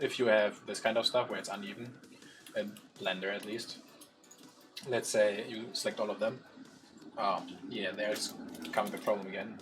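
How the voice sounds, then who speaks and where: In a strong German accent, a man talks at a fairly quick pace, his medium-pitched voice showing ordinary pitch variation. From Germany. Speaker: 3D artist, stream co-host. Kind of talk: live stream tutorial feedback.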